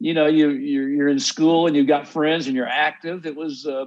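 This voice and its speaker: This man speaks with a Texan accent at a fairly high pitch. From Texas. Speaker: songwriter and musician. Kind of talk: interview.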